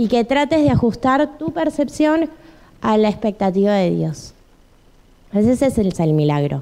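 A woman speaks at a very slow pace. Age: 30s. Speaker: preacher. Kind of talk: sermon. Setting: church.

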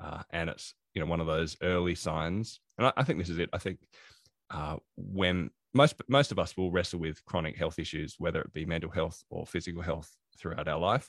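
A man with an Australian accent and a very deep, low pitch talks fairly quickly with ordinary pitch variation in a very clean recording with a silent background and a dry, close sound with no echo. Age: 40s. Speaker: productivity consultant and author. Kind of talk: interview.

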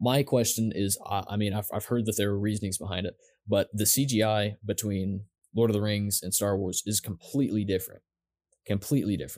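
A man speaks fairly quickly in an ordinary speaking voice, fairly low in pitch, with fairly even intonation. The recording is very clean and silent in the background, dry and close with no echo. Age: 20s. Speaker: podcast co-host. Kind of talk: casual chat.

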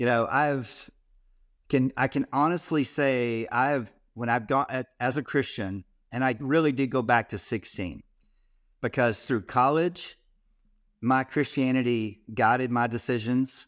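A man with a Texan accent speaks at medium pitch with ordinary pitch variation, at a fairly slow pace with long, frequent pauses. The recording is very clean, with a silent background. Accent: Texan American. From Texas. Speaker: ministry founder, former youth pastor. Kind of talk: casual faith interview. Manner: energetic.

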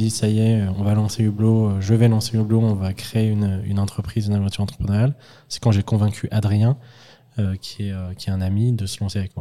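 In a very clean recording with a silent background, a man talks at a fairly quick pace with a fairly low, dark, mellow voice and monotone, flat intonation. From France, Lyon. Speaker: startup founder and CEO. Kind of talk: interview. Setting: company office.

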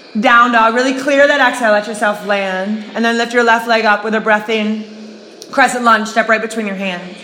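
A woman talks at a moderate pace in monotone, flat intonation over noticeable background noise. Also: fairly high pitch for a woman. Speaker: fitness instructor. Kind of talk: guided yoga class, cueing poses to breath. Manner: rhythmic, breath-timed, then softer and calmer in the cool-down.

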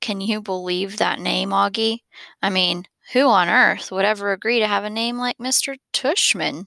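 The speaker is doing plain reading aloud with ordinary pitch variation over a quiet background.

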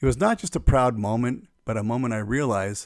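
In a very clean recording with a silent background, a man with an American accent speaks at a fairly quick pace in an ordinary speaking voice with ordinary pitch variation. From US, Phoenix area, Arizona. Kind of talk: personal testimony narration.

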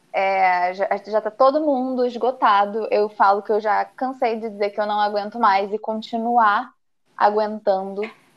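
Speaking slowly-ish at a fairly slow pace, a woman uses a plain, everyday voice with fairly high pitch and fairly even intonation. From Brazil, interior of Paraná. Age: 20s. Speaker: embroidery teacher. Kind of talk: casual chat.

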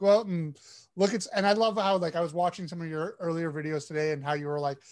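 On a very clean recording with a silent background, a man talks at a very fast pace in an animated, enthusiastic tone with ordinary pitch variation. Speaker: podcast host. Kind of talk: casual chat.

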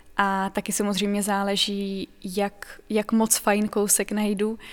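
The speaker is a woman talking at a very slow pace. Her intonation is monotone and flat. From Czech Republic, Pardubice region. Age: 20s. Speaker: second-hand clothing e-shop owner. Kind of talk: documentary interview.

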